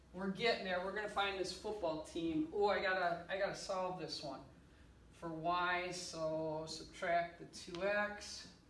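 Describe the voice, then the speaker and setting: A woman at a fairly slow pace with fairly even intonation, amid light background noise and audible room echo. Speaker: teacher. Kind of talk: playful classroom lesson narration. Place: classroom. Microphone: camera far.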